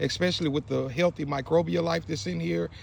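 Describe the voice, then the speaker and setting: A man speaks at a fairly high pitch. Vocal fry runs through his voice. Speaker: gardening video creator. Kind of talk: tutorial. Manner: fast; animated.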